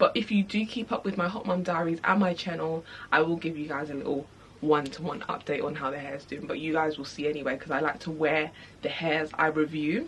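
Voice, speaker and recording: Against noticeable background noise, a woman keeps to a moderate pace. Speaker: beauty vlogger. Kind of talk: product review. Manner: soft-spoken.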